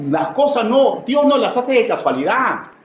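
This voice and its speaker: A man speaks fairly slowly at an extremely high pitch. Noticeable background noise and audible room echo are present. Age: 60s. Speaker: pastor. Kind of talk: sermon. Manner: repetitive, emphatic.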